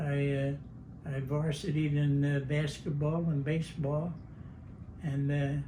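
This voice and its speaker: A fairly high-pitched man at a fairly slow pace, with monotone, flat intonation, very even loudness, long, frequent pauses and audible room echo. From New Jersey, Vineland. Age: 90s. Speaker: war veteran. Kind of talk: oral history interview. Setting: at home. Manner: halting.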